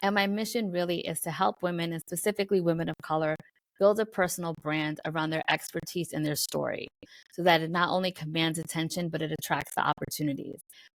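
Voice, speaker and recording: Very fast and fairly low, a woman with an American accent speaks with fairly even intonation in a very clean recording with a silent background and a dry, close sound with no echo. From New York City, the Bronx. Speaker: business coach. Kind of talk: podcast interview.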